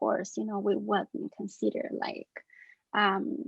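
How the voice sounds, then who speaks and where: A woman with a non-native accent. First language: not English. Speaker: researcher, panelist. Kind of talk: panel discussion. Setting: webinar video call. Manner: halting.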